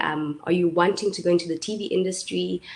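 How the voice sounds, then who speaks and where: A woman with a South African accent speaks at a medium pitch. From South Africa, Eastern Cape (Port Elizabeth). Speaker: YouTuber and entrepreneur. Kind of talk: webinar talk. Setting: live online webinar. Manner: hesitant, many fillers.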